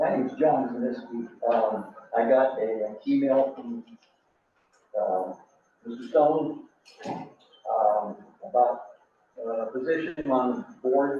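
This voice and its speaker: A man with a medium pitch speaks at a very slow pace, pausing long and often, with ordinary pitch variation. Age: 70s. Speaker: community member. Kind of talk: public comment. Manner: halting.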